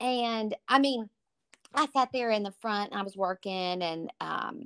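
Speaking at a very slow pace with a Southern US accent, a woman with fairly high pitch and ordinary pitch variation is heard in a dry, close recording with no echo, very clean over a silent background. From East Texas, Tyler. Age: 40s. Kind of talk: casual chat.

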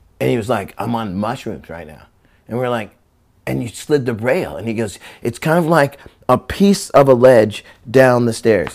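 Using an American accent, a man speaks at a medium pitch with vocal fry. His pace is moderate and his intonation lively. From Central California (Visalia). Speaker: skateboarder and rapper. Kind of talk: casual interview chat. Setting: at his own house. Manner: animated, laughing often.

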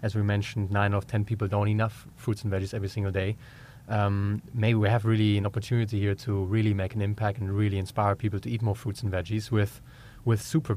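A man with a German accent speaks at a very fast pace in a fairly low pitch. His voice is somewhat breathy, with fairly even intonation. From Germany. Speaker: entrepreneur. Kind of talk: interview. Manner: halting.

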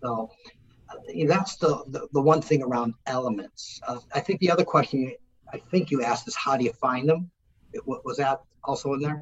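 A man speaks with an ordinary speaking voice. It sits fairly high in pitch and shows ordinary pitch variation. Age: 60s. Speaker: business executive and author. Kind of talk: interview.

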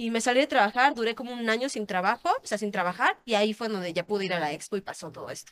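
Speaking at a very fast pace with hardly any pauses, a woman uses a fairly high pitch and lively intonation in a dry, close sound with no echo. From Querétaro, Mexico. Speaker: adult film actress. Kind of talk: interview.

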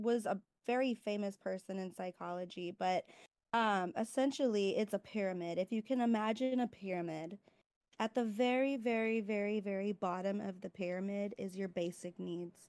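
Over a silent background in a very clean recording, a woman with an ordinary speaking voice talks at a fairly slow pace, a medium pitch, and with ordinary pitch variation. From California. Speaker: nursing student. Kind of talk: casual educational interview.

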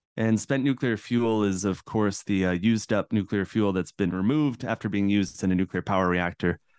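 Dry, close sound with no echo and a quiet background, carrying a man's plain, everyday voice, fairly low in pitch with an American accent, ordinary pitch variation, very even loudness and a fairly quick pace. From central Massachusetts, US. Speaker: cultural anthropologist and author. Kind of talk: interview.

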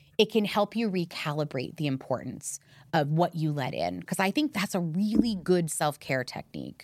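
In a normal speaking voice with an American accent, the speaker talks at a moderate pace with lively intonation on a very clean recording with a silent background. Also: woman, fairly low pitch for a woman. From US, Miami. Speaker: podcast host. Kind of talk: interview.

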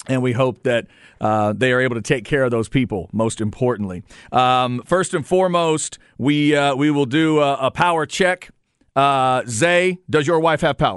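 A man with an unremarkable speaking voice and an American accent, medium in pitch, lively in intonation, at a moderate pace with very even loudness and a quiet background. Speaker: radio host. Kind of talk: radio DJ patter: casual sports-talk banter, riffing and chuckling with co-host. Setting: radio studio, broadcasting on FM during an ice storm.

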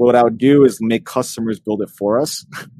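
At a moderate pace and medium pitch, a man speaks in a plain, everyday voice. The sound is dry and close with no echo. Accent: American. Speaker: podcast co-host. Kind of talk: casual chat.

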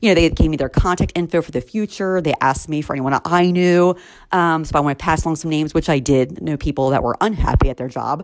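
A woman speaks at a very fast pace in a very deep, low pitch with ordinary pitch variation. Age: 40s. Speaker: recruiter and podcast host. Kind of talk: solo podcast monologue. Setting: home.

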